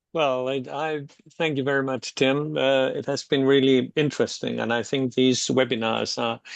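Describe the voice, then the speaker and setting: This is a man speaking. He has a Danish accent. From Denmark. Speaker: social work researcher. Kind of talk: webinar discussion. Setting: online webinar. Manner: halting, with many fillers.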